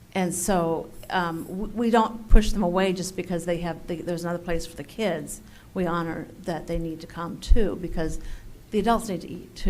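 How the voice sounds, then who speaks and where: At a moderate pace, a woman with a fairly low pitch talks in a space with audible room echo. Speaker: lunch program coordinator. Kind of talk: public comment at council meeting. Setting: city council meeting. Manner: halting.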